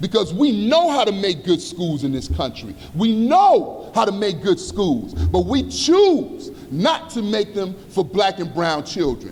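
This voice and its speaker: Over noticeable background noise, a man with a high pitch talks at a fairly slow pace with hardly any pauses, his voice making very wide pitch swings. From Chicago South Side, US. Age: 50s. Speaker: community organizer and activist. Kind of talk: conference speech. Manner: impassioned, emphatic.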